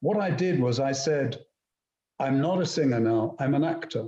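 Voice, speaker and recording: A somewhat breathy male voice, fairly high in pitch, with a dark, mellow tone at a moderate pace. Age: 70s. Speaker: classical actor and voice actor. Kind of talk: casual chat. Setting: video call.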